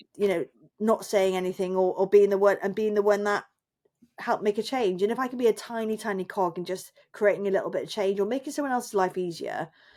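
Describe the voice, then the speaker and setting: Delivered at a very fast pace, this voice has a dark, mellow tone and ordinary pitch variation. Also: woman, medium pitch for a woman. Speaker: freelance journalist and lecturer. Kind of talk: casual chat. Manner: loud.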